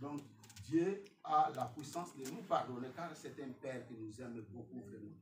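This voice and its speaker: The man's intonation is lively while his pace stays fairly slow. Audible room echo surrounds him. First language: not French (speaking French). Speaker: preacher. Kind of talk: sermon. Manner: halting.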